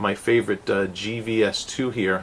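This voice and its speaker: A man in a New York accent. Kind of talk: product review tutorial. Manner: animated, enthusiastic; casual with many fillers.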